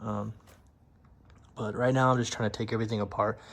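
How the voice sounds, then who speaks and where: The voice is a man's, and it is quiet. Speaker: car restoration vlogger. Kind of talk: casual vlog walkaround. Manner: hushed, quiet; hesitant, many fillers.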